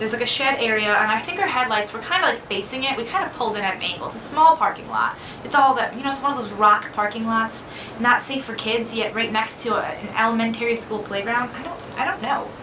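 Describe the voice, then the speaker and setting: A soft-spoken voice at a very fast pace, with audible room echo and noticeable background noise. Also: woman, fairly high pitch for a woman, ordinary pitch variation. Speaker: vlogger. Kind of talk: casual storytelling. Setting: dorm room.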